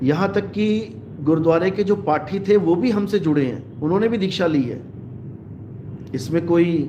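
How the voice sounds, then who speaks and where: Heard with audible room echo, a man talks in a high voice at a fairly slow pace with ordinary pitch variation. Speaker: spiritual preacher. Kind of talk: live religious discourse.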